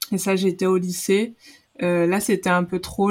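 A woman with an ordinary speaking voice talks at a fairly slow pace and medium pitch, on a very clean recording with a silent background. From Guadeloupe. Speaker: former volleyball player and pharmacist. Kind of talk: casual interview.

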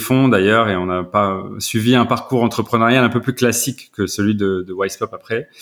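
A man with fairly even intonation on a very clean recording, silent background. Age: 40s. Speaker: startup founder. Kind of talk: interview. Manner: halting.

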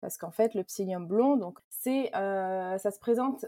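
Her voice has a dark, mellow tone, ordinary pitch variation and a moderate pace, captured in a dry, close sound with no echo. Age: 20s. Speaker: food brand founder. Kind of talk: casual interview, personal testimony. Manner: hesitant, many fillers.

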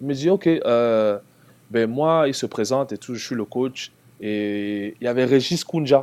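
A man's voice sits at a medium pitch, moving fairly slowly and varying in pitch in an ordinary way. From Cameroon (Yaoundé). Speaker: former basketball player. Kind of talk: casual interview.

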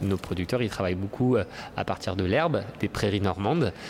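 A man with a fairly low pitch and ordinary pitch variation talks at a moderate pace. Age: 30s. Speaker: dairy supplier relations manager. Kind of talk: interview. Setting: agricultural trade fair on a farm. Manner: hesitant, many fillers.

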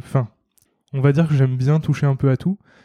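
Against a quiet background, a man with a medium pitch and a dark, mellow tone talks with monotone, flat intonation. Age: 30s. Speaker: freelance designer. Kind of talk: casual interview. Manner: hesitant, many fillers.

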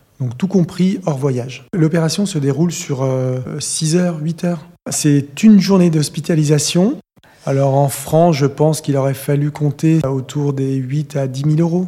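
A man's voice sits fairly high, its pitch moving in an ordinary way, while noticeable background noise carries on behind it. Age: 40s. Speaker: interviewee sharing cosmetic surgery experience. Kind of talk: testimony.

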